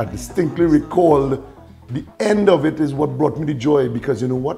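Faint music plays in the background as a man talks at a fairly quick pace with ordinary pitch variation. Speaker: guest. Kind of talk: casual conversation. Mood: animated, storytelling. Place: kitchen. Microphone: lapel.

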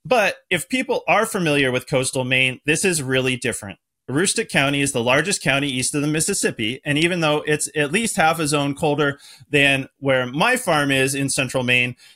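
A man talks at a fairly quick pace in a bright, sharp tone with very even loudness. His pitch varies in an ordinary way against a quiet background. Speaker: podcast host. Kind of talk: podcast introduction. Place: home room.

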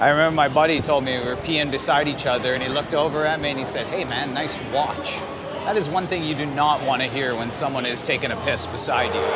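A man rushes along at a very fast pace amid loud background noise. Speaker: travel vlogger. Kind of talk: casual vlog chat. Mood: joking, playful. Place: stadium. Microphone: phone near.

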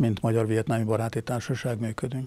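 A man's voice with a dark, mellow tone comes across as a dry sound with no echo. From Hungary. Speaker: retired army general. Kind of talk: interview. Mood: calm, reflective. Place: studio. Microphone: lapel.

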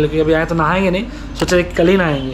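A man is speaking. Music plays in the background. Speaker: travel vlogger. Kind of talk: casual vlog chat. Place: home room. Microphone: phone near.

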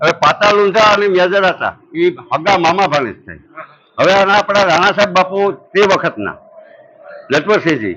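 A man raises and projects his voice at a high pitch, with ordinary pitch variation. Noticeable background noise is present. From Saurashtra, Gujarat (Porbandar area village). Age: 50s. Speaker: villager at religious fair. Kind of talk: interview storytelling.

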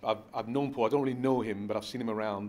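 Light background noise sits behind this voice. A man speaks at a very fast pace. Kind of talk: interview answer. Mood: warm, reflective. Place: home room.

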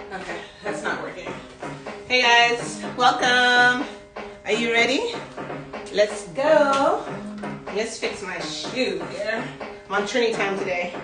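A woman at a very slow pace with long, frequent pauses, audible room echo and clear music in the background. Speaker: fitness instructor. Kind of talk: live workout coaching chat. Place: home room.

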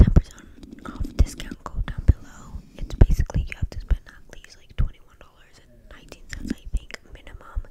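A woman whispers at a fairly quick pace. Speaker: haul vlogger. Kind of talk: casual vlog chat. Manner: close-mic ASMR whisper. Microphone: studio mic.

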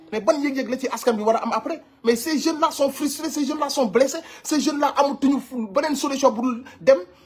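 An animated man at a moderate pace, extremely high in pitch, with ordinary pitch variation. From Senegal. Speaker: online commentator. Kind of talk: commentary. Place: home room. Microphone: phone near.

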